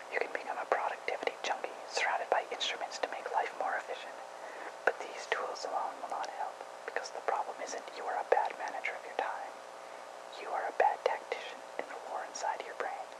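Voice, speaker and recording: Amid noticeable background noise, a whisper moves along at a fairly quick pace. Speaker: ASMR whisperer. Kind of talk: article reading. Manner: whispered.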